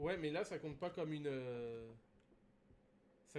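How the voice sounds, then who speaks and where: Ordinary pitch variation runs through this voice. It is a man's. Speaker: gaming streamer. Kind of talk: live gameplay stream commentary. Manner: hesitant, many fillers.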